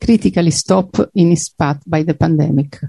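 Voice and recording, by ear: A woman's fairly low voice, dark and mellow in tone with vocal fry, fairly even intonation and a moderate pace, in a dry, close sound with no echo.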